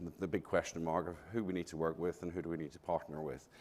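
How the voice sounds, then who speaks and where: In a slight Glaswegian accent, a man with a very deep, low pitch speaks at a fairly quick pace. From Scotland, Glasgow. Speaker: architect. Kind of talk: conference talk.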